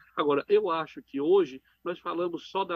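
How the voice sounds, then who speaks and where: A man talks in a high voice with lively intonation, at a fairly slow pace. The sound is dry and close, with no echo. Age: 70s. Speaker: psychiatrist and professor. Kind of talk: radio interview.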